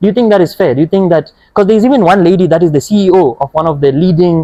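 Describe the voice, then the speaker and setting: Speaking at a very fast pace with a Botswana accent, a man uses a dark, mellow tone and ordinary pitch variation, the sound dry and close with no echo. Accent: Botswana (Setswana) English. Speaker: podcast host, youth NGO member. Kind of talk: podcast interview. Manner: conversational, with many fillers.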